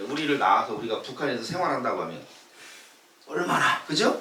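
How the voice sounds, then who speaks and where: Noticeable background noise and audible room echo accompany a man talking at a moderate speed. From South Korea. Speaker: pastor. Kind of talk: sermon. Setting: church with congregation. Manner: conversational, engages congregation with questions.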